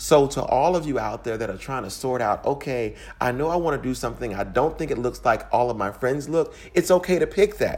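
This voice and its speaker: Using vocal fry, a man speaks at a fairly quick pace with lively intonation. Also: medium pitch for a man. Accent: American. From US, Louisiana-born, raised across Midwest. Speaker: physician. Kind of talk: recorded personal story.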